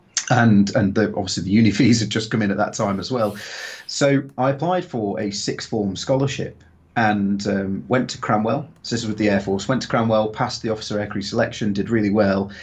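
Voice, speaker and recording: At a fairly quick pace, a man speaks with a fairly low pitch and ordinary pitch variation. His voice is somewhat breathy. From Stoke-on-Trent, England (Potteries). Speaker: former military pilot, drone instructor. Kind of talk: interview. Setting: live video stream.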